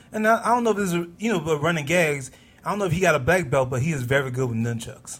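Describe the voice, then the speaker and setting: A man talks very fast at a fairly high pitch with lively intonation. Music is in the background. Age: 30s. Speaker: podcast co-host. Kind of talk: casual podcast chat.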